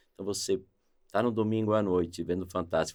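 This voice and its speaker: Intonation stays fairly even in a normal speaking voice, captured in a very clean recording with a silent background. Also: man. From Brazil, São Paulo. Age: 60s. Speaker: sales executive. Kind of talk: podcast interview.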